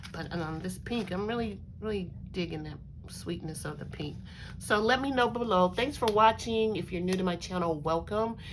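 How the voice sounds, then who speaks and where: A woman speaks with ordinary pitch variation. Audible echo from the room surrounds her voice. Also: medium pitch for a woman, moderate pace. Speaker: crafting YouTuber. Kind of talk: casual craft show-and-tell. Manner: hesitant, many fillers.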